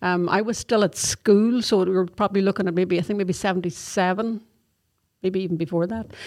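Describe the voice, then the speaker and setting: A woman talks at a fairly quick pace at a medium pitch with fairly even intonation, in a very clean recording with a silent background. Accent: Donegal. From Donegal, Ireland. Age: 50s. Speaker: army corporal. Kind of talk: interview.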